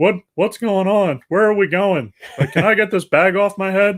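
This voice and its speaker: A man does a put-on character voice, high in pitch. He speaks at a moderate pace. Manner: confused, asking.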